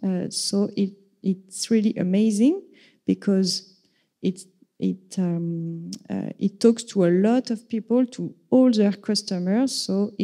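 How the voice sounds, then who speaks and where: In a very clean recording with a silent background, a woman speaks at a very slow pace in a medium pitch. Her tone is dark and mellow, with fairly even intonation. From France. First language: French. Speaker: vegan activist. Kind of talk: conference talk. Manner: halting, many fillers.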